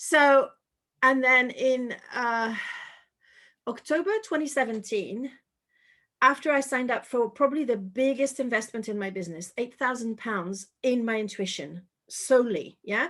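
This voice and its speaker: In a very clean recording with a silent background, a woman with a French accent speaks at a high pitch in a bright, sharp tone, leaving long, frequent pauses. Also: ordinary pitch variation, moderate pace. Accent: French accent, fairly light. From France, Paris. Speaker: intuition coach and author. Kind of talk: interview.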